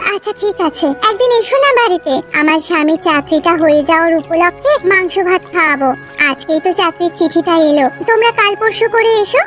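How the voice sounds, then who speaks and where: Clear music plays in the background as a woman uses a cartoonish character voice pitched extremely high. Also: moderate pace. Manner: chatty, warm.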